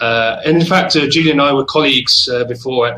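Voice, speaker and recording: At a fairly quick pace and medium pitch, a man speaks with a southern English accent over noticeable background noise. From England, Oxford. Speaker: travel company manager. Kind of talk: casual chat. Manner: hesitant with many fillers.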